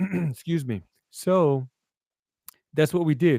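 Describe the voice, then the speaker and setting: A man with a Brooklyn accent speaks at a fairly slow pace in a dark, mellow tone, with ordinary pitch variation. The sound is dry and close, with no echo. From New York, Brooklyn. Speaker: live show guest. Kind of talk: conversational interview talk. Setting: live broadcast. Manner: halting, with repetitions.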